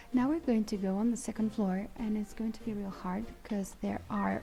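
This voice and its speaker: Music plays in the background. A woman speaks at a medium pitch with fairly even intonation. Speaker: gaming YouTuber. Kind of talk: let's play commentary. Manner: casual, hesitant with fillers.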